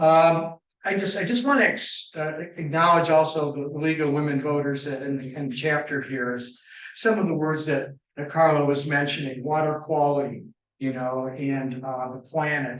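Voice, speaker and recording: Amid audible room echo, a man with a US Midwestern accent speaks at a moderate pace in a fairly high voice with fairly even intonation. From western Michigan, US Midwest. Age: 70s. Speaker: environmental engineer and guest speaker. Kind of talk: public lecture. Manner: halting, many fillers.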